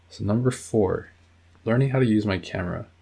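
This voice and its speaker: A man talks at a moderate pace. Music can be heard in the background. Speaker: YouTuber. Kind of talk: casual vlog talk to camera. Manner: halting, with restarts and fillers.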